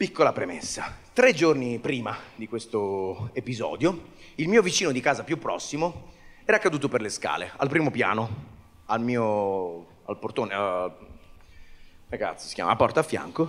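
A man talks at a moderate pace with very wide pitch swings. He leaves long, frequent pauses. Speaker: stand-up comedian. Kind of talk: stand-up comedy monologue. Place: stage. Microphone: handheld.

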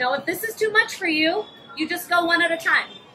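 This woman's voice sits at an extremely high pitch. She talks at a moderate pace over light background noise. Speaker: yoga instructor. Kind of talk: fitness class instruction. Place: open country.

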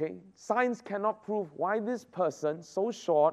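Against a quiet background, a man speaks at a fairly slow pace with lively intonation and an animated tone. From Christmas Island. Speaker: pastor. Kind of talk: devotional talk to youth camp. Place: hall.

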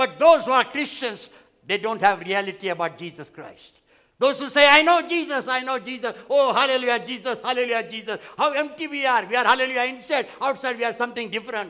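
Raised and projected, a man's voice sits at an extremely high pitch, with an animated, bright, sharp tone, a fairly quick pace, ordinary pitch variation and a quiet background. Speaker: pastor. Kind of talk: sermon. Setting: church. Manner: animated, repetitive, call-and-response preaching; emphatic, repeating phrases for effect. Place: church. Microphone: headset.

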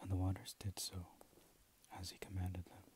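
Soft-spoken, somewhat breathy man with a very deep, low pitch, dry sound with no echo and noticeable background noise. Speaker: reader of scripture. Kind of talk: scripture reading. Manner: soft, low ASMR reading voice. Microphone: earbuds.

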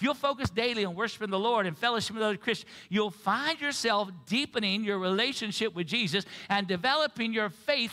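A reading voice, unforced and easy.

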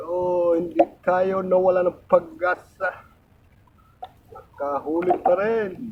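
A high-pitched man speaks very slowly with fairly even intonation. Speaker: fisherman vlogger. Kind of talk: casual vlog narration. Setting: outdoors at sea on a boat.

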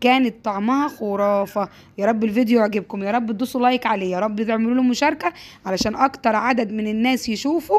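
A woman in an Egyptian accent, animated and fairly quick, fairly high-pitched with ordinary pitch variation. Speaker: home cooking youtuber. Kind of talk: cooking tutorial.

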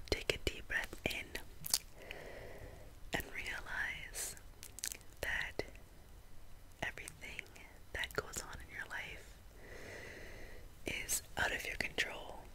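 A woman whispers at a very slow pace. Long, frequent pauses break up her speech. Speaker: ASMR content creator. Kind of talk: ASMR relaxation video. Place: home room. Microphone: studio mic.

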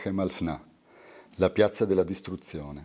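A man with a fairly low pitch and a dark, mellow tone speaks against a quiet background. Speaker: poet reading his work. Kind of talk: poetry reading aloud. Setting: live reading at a university. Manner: meditative, lyrical cadence. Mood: calm, measured, contemplative. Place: home room. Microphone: studio mic.

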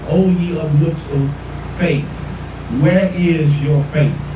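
Fairly slow speech from a man amid noticeable background noise and audible room echo. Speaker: pastor. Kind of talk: sermon. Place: street.

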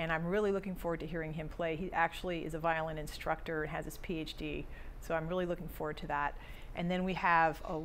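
Very fast, monotone, flat delivery over light background noise. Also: woman, fairly low pitch for a woman. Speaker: guest. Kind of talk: interview answer. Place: studio.

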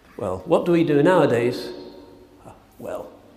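At a fairly slow pace, a man speaks with audible room echo. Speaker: speaker. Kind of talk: sermon. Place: church. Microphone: podium.

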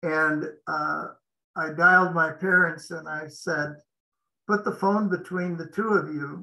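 Bright, sharp tone with an American accent, fairly even intonation and a fairly slow pace against a quiet background. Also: man, high pitch for a man. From Montana, US. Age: 70s. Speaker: franchise business consultant; interviewee. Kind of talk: interview. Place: home room. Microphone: video call.

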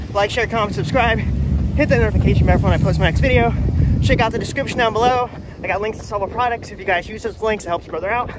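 Against loud background noise, a man talks at a very fast pace, his voice dry with no echo. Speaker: runner vlogger. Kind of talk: casual vlog chat. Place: street. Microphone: phone near.

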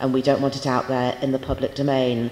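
Her very deep, low pitch stands out for a woman, and audible room echo surrounds her speech. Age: 50s. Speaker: university lecturer. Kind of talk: lecture. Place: hall. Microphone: handheld.

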